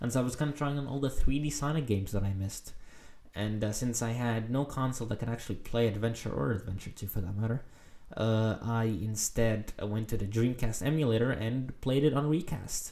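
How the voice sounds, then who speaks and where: A man with a dark, mellow tone speaks at a fairly quick pace, his medium pitch showing ordinary variation. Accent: non-native. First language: not English. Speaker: gaming video essayist. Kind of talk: casual monologue. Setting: recording at home late at night. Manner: hesitant, many filler words.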